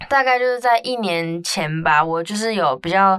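A woman speaks at a moderate pace in a normal speaking voice. Her pitch is medium. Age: 20s. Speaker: podcast host. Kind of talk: casual chat.

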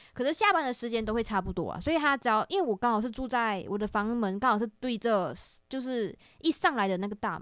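At a very fast pace, a woman talks with a fairly high pitch and lively intonation. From Malaysia. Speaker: video creator. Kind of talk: casual chat.

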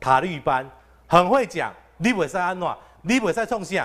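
A man's fairly high voice with vocal fry at a moderate pace, on a very clean recording against a silent background. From Taichung, Taiwan. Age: young. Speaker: council candidate, recall campaign leader. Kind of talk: live-streamed panel discussion. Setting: live broadcast venue with studio audience. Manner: gentle and refined.

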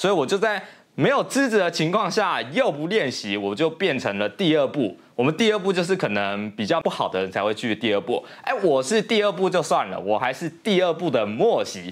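Pitched high, a man speaks with very wide pitch swings. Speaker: YouTuber. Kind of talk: casual vlog monologue. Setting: home studio. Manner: casual, filler-heavy.

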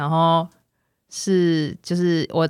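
Someone speaks with a Taiwanese accent on a very clean recording with a silent background. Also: woman. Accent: Taiwanese Mandarin. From northern Taiwan. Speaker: former schoolteacher. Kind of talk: casual chat.

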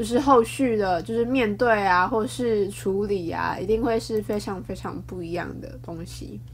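Speaking at a fairly slow pace, a woman leaves hardly any pauses while her loudness swings widely. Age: 20s. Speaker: podcaster. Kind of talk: casual solo talk. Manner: halting, many fillers.

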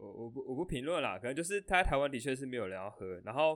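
At a very fast pace, a man talks in a medium pitch with lively intonation. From Taiwan. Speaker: podcast host, student. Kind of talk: casual chat.

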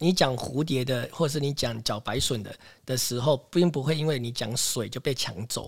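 A somewhat breathy man's voice at medium pitch, moderate pace and ordinary pitch variation. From Taiwan, Taipei. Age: 40s. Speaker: farmer. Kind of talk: interview.

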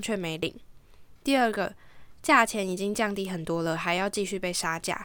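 On a very clean recording with a silent background, the voice sounds bright and sharp. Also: woman. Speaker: podcast host and home organizing consultant. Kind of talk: scripted narration reading listener stories. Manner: languid, lazier-sounding than usual.

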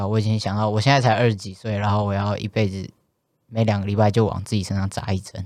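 Very fast talk from a man with a Taiwanese accent and a fairly low pitch, on a very clean recording with a silent background. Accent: Taiwanese Mandarin. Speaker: transgender podcast co-host. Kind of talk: casual chat. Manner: animated.

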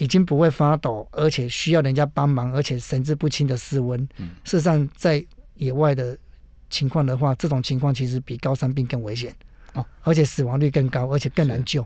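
Talking at a fairly quick pace, a man with a fairly high pitch has a dark, mellow, somewhat breathy tone and fairly even intonation. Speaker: emergency physician and mountain medicine doctor. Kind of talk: radio interview. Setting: radio studio.

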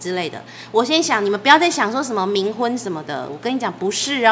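Over noticeable background noise, a woman speaks fast-ish at a medium pitch, her pitch swinging very widely. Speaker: wedding planner and podcast host. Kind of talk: casual chat. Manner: animated.

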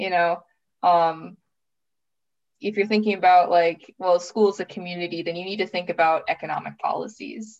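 A woman with an Upper Midwest accent talks at a moderate pace against a quiet background. Her voice sits fairly low, and her intonation stays fairly even. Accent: Upper Midwest American. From US Midwest, Minnesota. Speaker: master's student, former English teacher. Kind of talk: casual interview.

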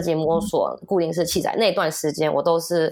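Talking at a fairly quick pace, a woman has an unremarkable speaking voice with a fairly low pitch. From US. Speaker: kindergarten teacher. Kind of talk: casual interview chat.

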